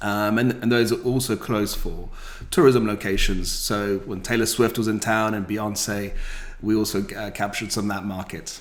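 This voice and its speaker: A man speaks in a British accent at a moderate pace. His fairly low voice has monotone, flat intonation. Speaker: rental company founder. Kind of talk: podcast interview.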